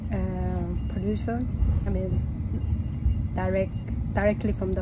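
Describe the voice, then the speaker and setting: A woman is speaking. Loud background noise fills the clip. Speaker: travel vlogger. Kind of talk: casual vlog chat. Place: train. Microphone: phone near.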